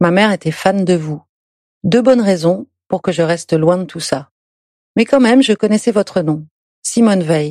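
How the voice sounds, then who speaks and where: A woman speaks at a moderate pace with a dark, mellow tone and lively intonation, pausing long and often. The sound is dry and close, with no echo. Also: medium pitch for a woman. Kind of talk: reading aloud a letter.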